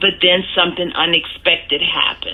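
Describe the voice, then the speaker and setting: A woman with a New Orleans accent amid noticeable background noise. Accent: New Orleans Southern US. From US South, New Orleans, Louisiana. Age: 40s. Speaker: hurricane survivor interviewee. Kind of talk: personal testimony interview. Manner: some hesitations and restarts.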